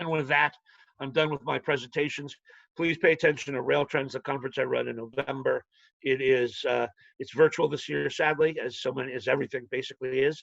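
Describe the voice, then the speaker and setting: The voice has vocal fry and a monotone, flat intonation at a fairly quick pace. The sound is dry and close, with no echo. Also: man, fairly high pitch for a man. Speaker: financial analyst. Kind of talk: webinar presentation. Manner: fast; halting.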